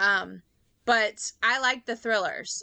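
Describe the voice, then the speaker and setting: With a Louisiana accent, a woman speaks in a bright, sharp tone at a fairly high pitch, her intonation fairly even against a quiet background. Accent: Southern US (Louisiana). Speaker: podcast co-host. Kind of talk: casual chat.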